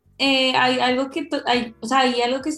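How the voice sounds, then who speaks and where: The intonation stays fairly even. It moves at a moderate pace. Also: woman. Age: 20s. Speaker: entrepreneur, company founder. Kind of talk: radio interview.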